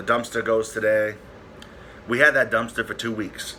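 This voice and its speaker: A man is speaking. His pace is fairly slow. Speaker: YouTuber. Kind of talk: casual vlog update. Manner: stutters at times; halting, filler-heavy.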